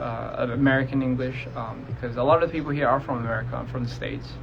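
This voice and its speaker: A man talks at medium pitch and a fairly quick pace, his intonation fairly even. Room echo is audible, and background noise is noticeable. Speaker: musician streaming live to fans. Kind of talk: casual livestream Q&A. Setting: Instagram live stream. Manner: casual, hesitant with fillers.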